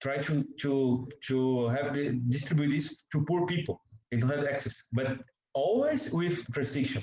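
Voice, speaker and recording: A dark, mellow, somewhat breathy tone with a Portuguese accent, fairly even intonation and very even loudness. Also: man, fairly high pitch for a man, fairly slow pace. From Brazil. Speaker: journalist. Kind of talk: interview. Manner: halting.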